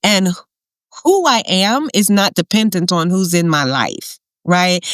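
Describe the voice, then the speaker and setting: The woman has an unremarkable speaking voice, talking at a fairly slow pace with a medium pitch and ordinary variation, the sound dry and close with no echo. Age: 60s. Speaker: podcast guest sharing menopause experience. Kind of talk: casual interview chat, testimony.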